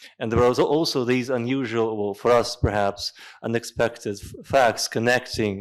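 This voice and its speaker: A man with a Russian accent, medium pitch and fairly even intonation. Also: moderate pace, big swings in loudness. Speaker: lecture moderator. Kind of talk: closing remarks at a lecture.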